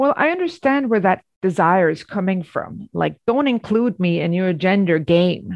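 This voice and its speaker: In a Swedish accent, a woman talks at a moderate pace with lively intonation. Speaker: journalist and author. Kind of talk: academic interview.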